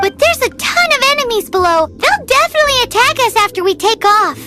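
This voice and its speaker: Over loud background music, a put-on character voice, squeaky and extremely high-pitched, rattles along at a very fast pace. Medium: machinima.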